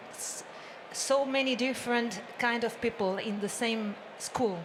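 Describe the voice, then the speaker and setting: Noticeable background noise sits under the speech. The delivery is fairly slow, with fairly even intonation. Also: woman. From Spain. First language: Spanish. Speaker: teacher, audience member. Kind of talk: audience question. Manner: halting.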